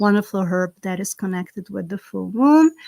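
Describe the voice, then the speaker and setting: The speaker has a Slovak accent. The sound is dry and close, with no echo. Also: woman. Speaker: herb farmer and spiritual content creator. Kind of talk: live stream ritual and casual chat. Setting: outdoors; live stream.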